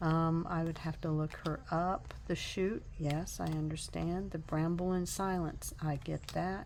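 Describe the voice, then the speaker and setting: Speech runs at a fairly slow pace with hardly any pauses. Loudness stays very even, and there is audible room echo. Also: woman. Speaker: tarot and craft YouTuber. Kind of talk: casual deck review vlog. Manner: hesitant, many fillers.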